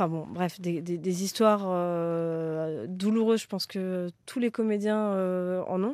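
With a dark, mellow tone and a medium pitch, a woman talks at a very slow pace with ordinary pitch variation and hardly any pauses. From France, Créteil (Paris suburbs). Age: 30s. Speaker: talent agent. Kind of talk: casual interview. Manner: halting, many repetitions and fillers.

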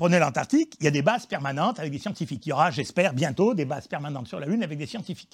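A man talks very fast in a fairly high voice, his intonation lively. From Auvergne, France. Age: 70s. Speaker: geologist, professor emeritus. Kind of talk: interview, popular science explanation.

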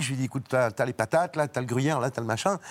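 A man's medium-pitched voice, with ordinary pitch variation, is heard on a very clean recording with a silent background. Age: 60s. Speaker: actor and cook. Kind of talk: TV talk show chat.

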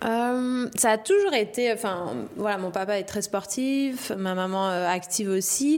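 A woman speaks at a fairly slow pace in an ordinary speaking voice, her medium pitch rising and falling in an ordinary way. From La Réunion. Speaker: professional surfer. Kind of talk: interview.

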